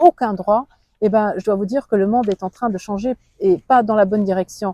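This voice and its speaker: Her pitch is fairly high, and this woman speaks with a Luxembourgish accent in a dark, mellow tone. The pace is fairly quick, and the sound is dry and close with no echo. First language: Luxembourgish (speaking French). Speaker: politician. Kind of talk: interview. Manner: halting.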